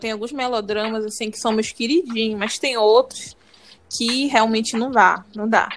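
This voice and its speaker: Using an ordinary speaking voice, a woman talks at a moderate pace with ordinary pitch variation. Her loudness swings widely. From Brazil, Pará. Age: 20s. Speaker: podcast co-host, fan translation group admin. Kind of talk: casual chat.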